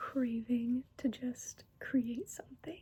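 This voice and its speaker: A soft-spoken woman with a gentle, dark, mellow tone, high pitch and a very slow pace. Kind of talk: soft-spoken ASMR talking to camera. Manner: soft-spoken, gentle, relaxing.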